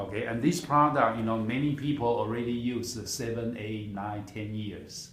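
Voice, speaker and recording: A man of medium pitch speaks at a moderate pace with hardly any pauses. His pitch varies in an ordinary way over noticeable background noise. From Taiwan. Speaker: product seller. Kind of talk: sales pitch.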